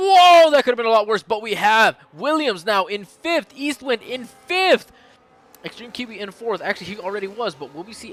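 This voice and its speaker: A man speaks in an animated tone at a fairly quick pace, his high pitch swinging very widely over noticeable background noise. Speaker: sim racing league commentator. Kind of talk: live commentary. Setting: live stream.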